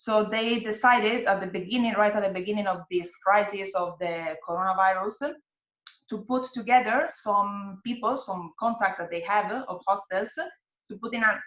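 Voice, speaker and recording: A woman with an Italian accent at a medium pitch and moderate pace, ordinary pitch variation, big swings in loudness. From Italy. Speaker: hostel worker and network organizer. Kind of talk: webinar interview. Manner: halting, many fillers.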